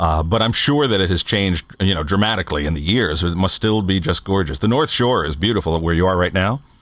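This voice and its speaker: A man speaks at a fairly quick pace with hardly any pauses and a very deep, low pitch. His intonation is lively, his loudness very even, and the background quiet. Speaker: podcast co-host and producer. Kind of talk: casual chat. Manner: animated.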